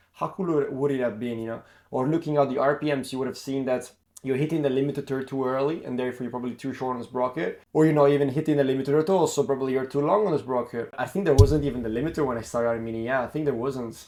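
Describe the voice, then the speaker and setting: Delivered in an Italian accent, the voice has a dark, mellow tone. It moves at a very fast pace with hardly any pauses. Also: man, medium pitch for a man, ordinary pitch variation. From Italy. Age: 20s. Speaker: karting coach and former racing driver. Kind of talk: casual monologue to camera. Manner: halting, many fillers and restarts.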